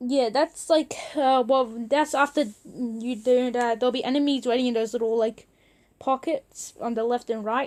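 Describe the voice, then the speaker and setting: Recorded very cleanly against a silent background, a woman speaks at a moderate pace with a high pitch and fairly even intonation. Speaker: gaming video creator. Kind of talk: unscripted game tutorial. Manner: halting, stutters a lot; casual, filler-heavy.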